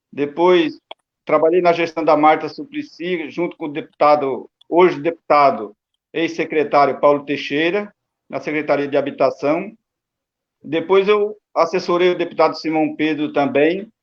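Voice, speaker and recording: His pitch sits fairly high with ordinary pitch variation. This man talks at a moderate pace in a plain, everyday voice. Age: 60s. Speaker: retired metalworker and union activist. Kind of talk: panel discussion.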